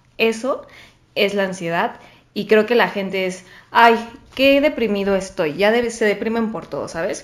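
A woman with a fairly high pitch and ordinary pitch variation talks in a plain, everyday voice. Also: fairly slow pace. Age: 20s. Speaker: podcast guest sharing anxiety experience. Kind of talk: casual chat.

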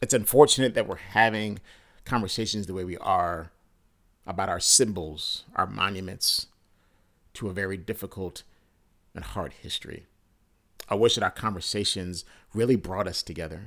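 The recording is very clean, with a silent background. A man talks at a moderate pace, with long, frequent pauses and big swings in loudness. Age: 40s. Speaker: podcast host. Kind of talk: personal reflection monologue. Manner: earnest.

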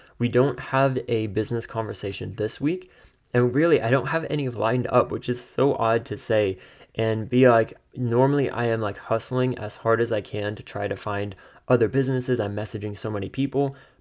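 Against a quiet background, a man in a plain, everyday voice talks at a fairly quick pace and a medium pitch. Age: 20s. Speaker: podcast host. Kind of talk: solo monologue with personal updates. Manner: upbeat, laughs often.

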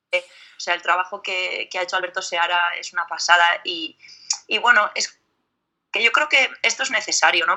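Her pitch medium and her pace moderate, a woman speaks. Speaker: metal singer. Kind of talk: interview.

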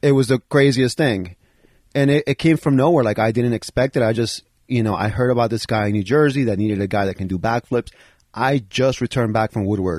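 A man with an American accent talks at a fairly quick pace with medium pitch and ordinary pitch variation. It is an ordinary speaking voice. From Bronx, New York. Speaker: former professional BMX rider. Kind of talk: casual interview. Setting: home basement.

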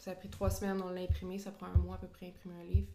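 A woman with a Quebec accent, with audible room echo and noticeable background noise. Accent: Québécois French. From Quebec, Drummondville. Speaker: sports photographer. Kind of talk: casual interview.

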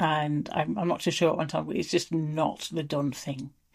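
With an English accent, a woman speaks at a moderate pace in a very deep, low pitch with vocal fry and ordinary pitch variation against a quiet background. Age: 40s. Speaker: menopause interviewee. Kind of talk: casual chat.

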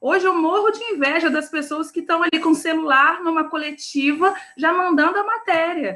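A woman speaks in an extremely high pitch with a raised, projected voice and a bright, sharp tone. Her pace is moderate, with hardly any pauses and ordinary pitch variation. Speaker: online news editor. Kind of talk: panel discussion.

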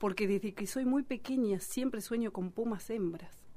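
A woman's fairly high voice, dark and mellow in tone, at a fairly slow pace with ordinary pitch variation. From Argentina, Bariloche (Patagonia). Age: 40s. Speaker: singer, writer and Mapuche activist. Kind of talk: radio interview.

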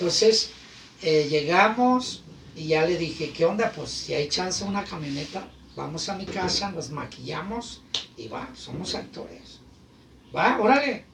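A high-pitched man at a fairly slow pace with lively intonation and big swings in loudness, plus noticeable background noise and audible room echo. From Guadalajara, Mexico. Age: 40s. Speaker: clown and radio presenter. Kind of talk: casual chat. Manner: animated.

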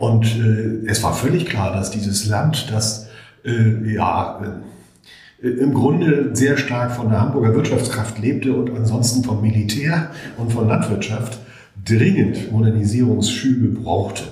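A man of medium pitch with ordinary pitch variation at a fairly slow pace, with audible room echo and noticeable background noise. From Hamburg, northern Germany. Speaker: urban planning professor. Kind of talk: interview.

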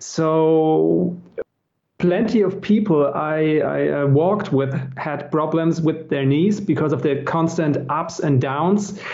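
A man with a German accent speaks at a very slow pace, his pitch fairly high and his pitch variation ordinary. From Germany. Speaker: experienced pilgrim. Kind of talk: casual interview chat. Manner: halting, hesitant with fillers.

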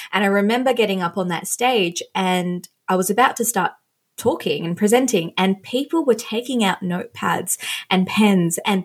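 A woman speaks in an Australian accent with a somewhat breathy voice. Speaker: fashion stylist and influencer. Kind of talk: casual chat.

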